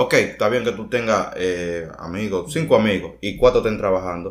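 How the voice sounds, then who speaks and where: A man with a Dominican accent talks at a fairly quick pace. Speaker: podcast co-host. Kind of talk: casual chat.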